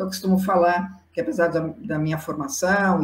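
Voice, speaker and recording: A woman talks in a fairly low pitch with fairly even intonation. Hers is a normal speaking voice at a moderate pace. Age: 60s. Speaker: psychologist and diversity consultant. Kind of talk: interview.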